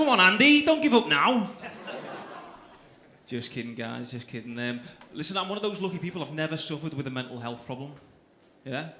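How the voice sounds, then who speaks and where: Speaking with a Liverpool accent, a man is heard with audible room echo and noticeable background noise. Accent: Scouse. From Liverpool, England. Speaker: stand-up comedian. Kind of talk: stand-up. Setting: stage with audience.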